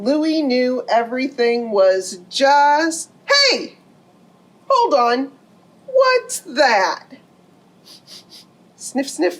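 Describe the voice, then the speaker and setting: Using a put-on character voice, a woman speaks very slowly at a high pitch. Long, frequent pauses break up her speech. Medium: read story. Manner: excitable, melodramatic.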